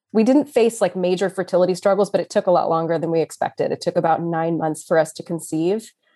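A woman with an American accent talks very fast with hardly any pauses, her voice fairly low and dark, mellow in tone. The recording is very clean, with a silent background. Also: ordinary pitch variation. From Texas, Austin. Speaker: new mother sharing birth story. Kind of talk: casual interview, personal story.

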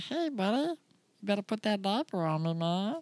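A fairly high pitch is heard here. The speaker is doing a put-on character voice. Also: moderate pace. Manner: laid-back, casual.

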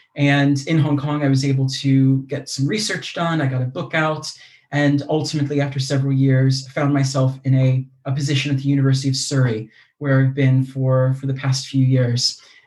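A man with an American accent speaks at a moderate pace and a medium pitch. His intonation is monotone and flat, and his voice is somewhat breathy. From US. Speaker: mindfulness teacher and university lecturer. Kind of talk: casual interview conversation.

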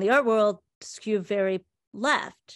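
With an American accent and a normal speaking voice, a woman speaks fairly slowly at a fairly high pitch with ordinary variation, in a dry, close recording with no echo and a quiet background. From US (Indian American). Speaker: art historian and podcaster. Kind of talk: casual chat.

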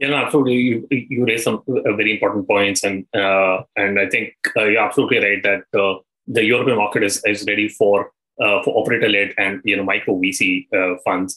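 A man with a normal speaking voice talks at a fairly quick pace and fairly low pitch. His intonation is fairly even and his loudness very even. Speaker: podcast host. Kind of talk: interview.

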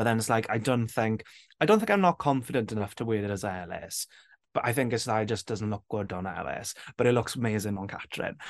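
A man with a South Wales Valleys accent, medium in pitch, at a very fast pace with ordinary pitch variation. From south Wales Valleys, Rhondda. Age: 20s. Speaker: drag queen and TikToker. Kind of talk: casual chat.

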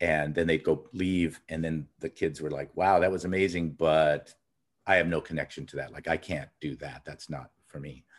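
A man with a Californian accent and a very deep, low voice speaks at a moderate pace with fairly even intonation and big swings in loudness. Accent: Californian American. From Los Angeles, US. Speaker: outdoor industry consultant. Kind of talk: interview conversation. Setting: at home in his childhood neighborhood.

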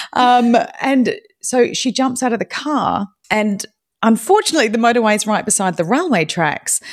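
Over a silent background in a very clean recording, a woman with a New Zealand accent talks at a moderate pace, her fairly high voice carrying lively intonation. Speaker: podcaster. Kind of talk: casual chat. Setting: live audio room. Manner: animated.

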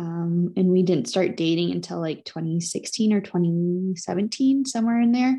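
A woman speaks with an Upper Midwest accent in a fairly low pitch. Her tone is dark and mellow, and her pace fairly slow. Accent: Upper Midwest American. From Wisconsin. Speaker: cranberry grower and podcast host. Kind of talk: casual chat.

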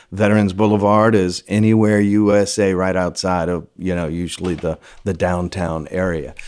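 Fairly even in intonation, a man speaks at a fairly low pitch. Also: very clean recording, silent background. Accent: Louisiana. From Louisiana. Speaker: film location manager. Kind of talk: casual interview.

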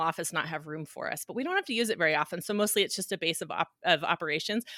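A bright, sharp tone with an American accent, in a very clean recording with a silent background and a dry, close sound with no echo. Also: woman. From Reno, Nevada. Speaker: clothing line founder and family physician. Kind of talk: casual interview chat.

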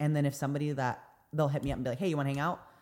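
This woman's voice has a very deep, low pitch. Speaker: podcast co-host. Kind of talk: casual chat. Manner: stumbling, stutters at times.

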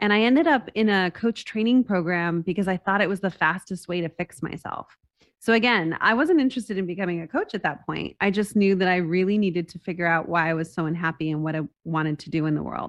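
With an American accent, a woman talks at a very fast pace in a medium pitch with ordinary pitch variation against a quiet background. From US Southwest, Las Cruces, New Mexico. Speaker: executive coach, former opera singer. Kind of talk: interview.

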